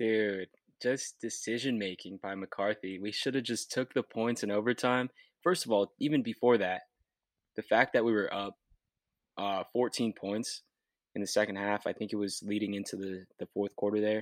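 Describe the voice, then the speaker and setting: A man with a plain, everyday voice at a fairly low pitch, moderate pace and fairly even intonation, in a very clean, dry, close recording with no echo and a silent background. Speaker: podcast co-host. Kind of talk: casual sports chat.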